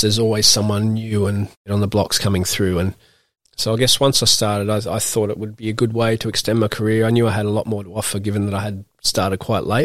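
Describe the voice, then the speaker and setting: Speaking with an Australian accent, a man talks at a fairly quick pace in a fairly low, flat monotone. The recording is very clean, with a silent background. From Australia, Newcastle NSW. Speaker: professional cricketer. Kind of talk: casual interview. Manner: hesitant, many fillers.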